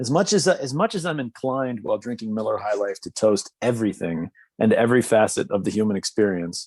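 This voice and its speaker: In a plain, everyday voice, the speaker moves at a fairly quick pace with hardly any pauses and lively intonation, on a very clean recording with a silent background and a dry, close sound with no echo. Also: man, medium pitch for a man. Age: 40s. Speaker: podcast co-host. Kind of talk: casual chat.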